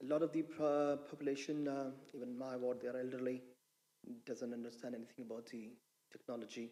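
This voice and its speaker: The room echo is audible as a man speaks at a fairly quick pace. His voice sits at a medium pitch with a dark, mellow tone. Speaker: local councillor. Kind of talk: council committee question. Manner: halting.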